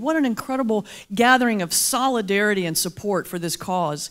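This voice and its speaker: Animated and at a moderate pace, a woman with a Southern US accent speaks with very wide pitch swings. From US South, mountains of North Carolina. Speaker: Baptist minister and motivational speaker. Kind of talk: keynote speech with humor. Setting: luncheon stage with audience.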